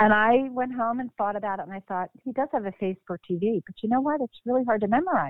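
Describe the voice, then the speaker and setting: A woman with an American accent speaks at a very fast pace, her fairly high pitch carried by lively intonation. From Philadelphia, Pennsylvania. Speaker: actress.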